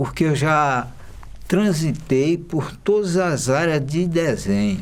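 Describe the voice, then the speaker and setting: Speaking at a very slow pace, a man with a fairly high pitch uses lively intonation over audible room echo. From Maranhão, Brazil. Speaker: illustrator. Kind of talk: documentary interview.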